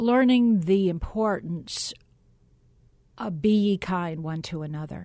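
Speaking at a very slow pace with long, frequent pauses, a woman has a dark, mellow tone at medium pitch, with ordinary pitch variation and big swings in loudness. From US South, Atlanta area, Georgia. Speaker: former TV broadcaster. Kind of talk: interview.

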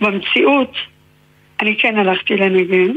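A woman at a fairly slow pace. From Israel, Haifa. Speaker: novelist and researcher. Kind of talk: interview.

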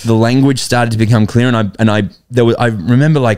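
A man's medium-pitched voice, slightly mellow, clear and smooth in tone, with fairly even intonation at a fast pace

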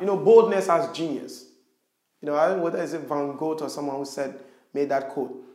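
A high-pitched man talks at a fairly quick pace with ordinary pitch variation, and room echo is audible. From Ghana, rural Western Region. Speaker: social entrepreneur. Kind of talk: interview conversation.

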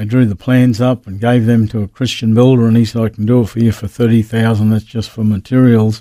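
A man with an Australian accent speaks very fast with hardly any pauses, his medium-pitched voice dark and mellow in tone and his intonation monotone and flat. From Queensland, Australia. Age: 70s. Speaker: pastor. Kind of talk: interview, personal testimony. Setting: radio studio.

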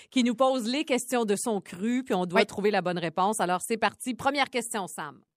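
With a plain, everyday voice, a woman speaks at a fairly quick pace with hardly any pauses, her fairly high pitch moving in an ordinary way over a dry, close sound with no echo. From Quebec, Côte-Nord (Port-Cartier). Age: 40s. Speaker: podcast co-host, TV personality. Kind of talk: casual chat.

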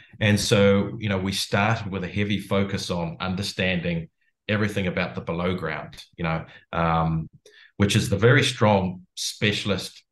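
A fairly low male voice in a New Zealand accent at a moderate pace, with ordinary pitch variation and a quiet background. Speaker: company founder and CEO. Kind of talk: interview.

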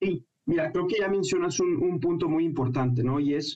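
The man's voice has a dark, mellow tone. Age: 30s. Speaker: financial consultant and business professor. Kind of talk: radio interview. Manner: halting, with many fillers.

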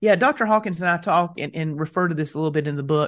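A man's high-pitched voice with lively intonation over a quiet background. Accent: Southern US. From US South, mountains of North Carolina. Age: 40s. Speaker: seminary professor of evangelism. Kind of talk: interview. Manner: halting, frequent repetitions.

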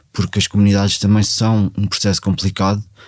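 A man speaks at a fairly low pitch, recorded very cleanly against a silent background. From Portugal, Ribatejo. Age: 40s. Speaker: former drug addict, outreach worker. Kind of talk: personal testimony. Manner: halting, many fillers and repetitions.

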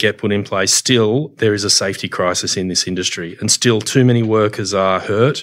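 A man with an Australian accent speaks at a fairly quick pace with fairly even intonation. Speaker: union official. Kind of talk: casual chat.

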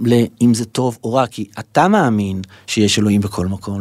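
A man speaks with ordinary pitch variation. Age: 50s. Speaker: podcast host. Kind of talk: spiritual monologue. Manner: halting.

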